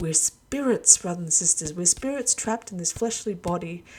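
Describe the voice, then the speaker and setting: Somewhat breathy, a woman speaks at a fairly low pitch and a moderate pace. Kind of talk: religious monologue video.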